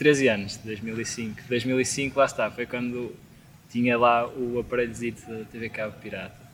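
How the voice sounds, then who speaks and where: A man speaks at medium pitch and a fairly slow pace. His intonation is monotone and flat, yet his loudness swings a lot. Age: 20s. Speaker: band vocalist and guitarist. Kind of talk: casual chat. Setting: outdoors in a garden.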